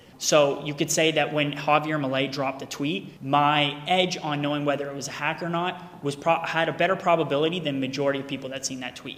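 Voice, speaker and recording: A man's monotone, flat delivery at a fairly quick pace, with hardly any pauses and noticeable background noise. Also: fairly high pitch for a man. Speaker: crypto content creator. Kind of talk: personal statement video. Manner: loud; casual, profane.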